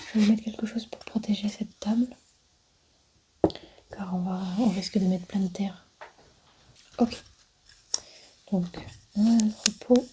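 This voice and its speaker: Soft-spoken delivery at a fairly slow pace, broken by long, frequent pauses. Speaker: ASMR creator playing an archaeologist. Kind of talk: ASMR roleplay, soft spoken.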